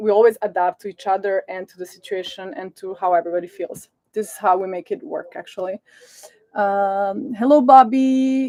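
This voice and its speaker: A woman speaks in a Serbian accent with ordinary pitch variation. The sound is dry and close, with no echo. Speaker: sailing family vlogger. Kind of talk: live stream Q&A. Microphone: sound problems at start of stream.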